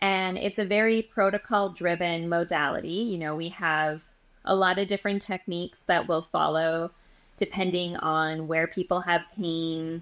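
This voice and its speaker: With a Canadian accent and an ordinary speaking voice, a woman with fairly low pitch talks at a moderate pace, her intonation fairly even, against a quiet background. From Western Canada (Edmonton, Alberta). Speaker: energy healer. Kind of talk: casual chat.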